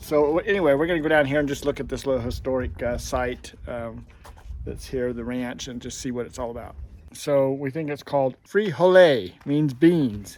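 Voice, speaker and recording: A man's medium-pitched voice, a plain, everyday voice, at a moderate pace with ordinary pitch variation. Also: big swings in loudness. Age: 60s. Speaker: RV travel vlogger. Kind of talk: casual vlog narration while walking. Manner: relaxed, many filler words.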